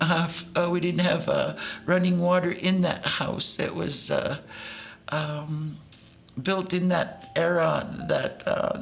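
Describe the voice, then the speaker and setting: A woman speaks at a very slow pace with very even loudness, amid noticeable background noise and audible room echo. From southern Alberta, Canada (Blood Reserve). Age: 70s. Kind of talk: documentary interview testimony. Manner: halting, many fillers.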